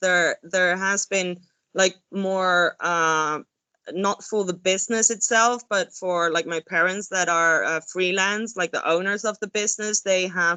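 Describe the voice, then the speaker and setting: The woman talks fairly slowly. She has a Spanish accent. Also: medium pitch for a woman, fairly even intonation. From Spain, Andalusia. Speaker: hospitality expert. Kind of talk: webinar talk. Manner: halting.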